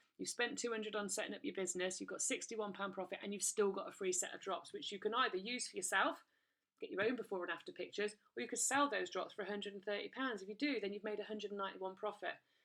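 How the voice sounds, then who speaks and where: Speaking at a very fast pace with an English accent, the voice shows ordinary pitch variation. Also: woman, medium pitch for a woman. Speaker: direct sales recruiter. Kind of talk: sales pitch. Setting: recorded video presentation. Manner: animated.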